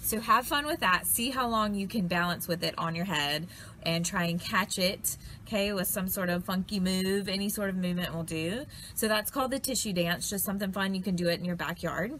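Over light background noise, a woman talks at a fairly quick pace. Her tone is bright and sharp, with ordinary pitch variation. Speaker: arts educator. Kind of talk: tutorial. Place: garden. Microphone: phone near.

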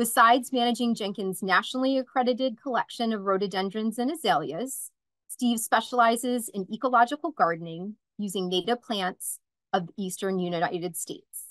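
A woman speaks with a fairly bright tone and ordinary pitch variation. The sound is dry and close, with no echo. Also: medium pitch for a woman, moderate pace.

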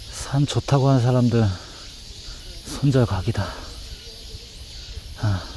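A man speaks at medium pitch with ordinary pitch variation, amid noticeable background noise. His pace is very slow, with long, frequent pauses. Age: 40s. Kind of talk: casual vlog talk to camera.

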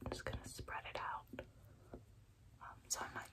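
A whispering woman at a very slow pace. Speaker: ASMR creator. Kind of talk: ASMR get-ready-with-me, chatty casual talk to camera. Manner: chatty, laid back, rambling. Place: home room. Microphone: phone near.

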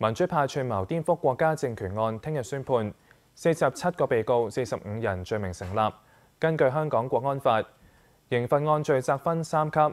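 At a moderate pace, a man speaks with a medium pitch and lively intonation. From Hong Kong. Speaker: news anchor. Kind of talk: news reading. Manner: formal. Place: studio. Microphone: lapel.

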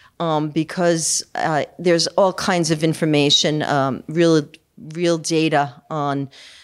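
A woman talks at a very slow pace in a very deep, low pitch. Her intonation is monotone and flat, over a quiet background. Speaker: event host introducing speaker. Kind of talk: speaker introduction. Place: hall. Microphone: podium.

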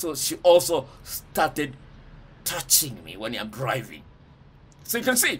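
A man talks at a fairly slow pace with vocal fry and very wide pitch swings. Light background noise sits underneath. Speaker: speaker. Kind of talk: casual advice talk to camera. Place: home room. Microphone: phone near.

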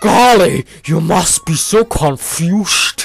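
A put-on character voice at a middle pitch. The delivery is very slow. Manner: sweet, playful.

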